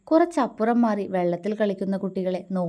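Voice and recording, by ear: The text is read aloud in a natural voice.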